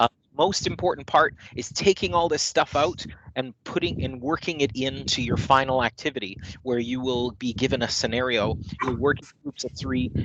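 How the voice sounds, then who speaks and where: In a Manitoban accent, a man speaks at a moderate pace with a medium pitch, ordinary pitch variation and big swings in loudness, in a dry, close sound with no echo. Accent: Canadian (Manitoba). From Canada, Manitoba (Winnipeg). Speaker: corporate trainer. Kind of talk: online training session; casual chat. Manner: hesitant, many fillers.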